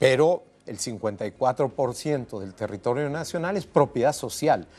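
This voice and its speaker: In a normal speaking voice, a man at medium pitch talks at a moderate pace with lively intonation and big swings in loudness. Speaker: rural development academic and activist. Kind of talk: TV interview. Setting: TV studio.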